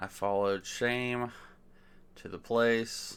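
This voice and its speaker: A soft-spoken man mumbles in a flat, monotone delivery. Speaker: worship song reviewer. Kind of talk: casual commentary review. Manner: mumbling.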